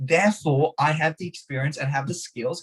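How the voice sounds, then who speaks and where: A man's fairly high-pitched, somewhat breathy voice at a moderate pace. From Hungary. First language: Hungarian. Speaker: martial arts teacher and podcast guest. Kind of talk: podcast interview.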